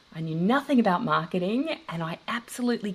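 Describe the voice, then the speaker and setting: A woman with an Australian accent talks at a fairly quick pace, her intonation lively and her voice showing vocal fry. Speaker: online course coach. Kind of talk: casual interview chat.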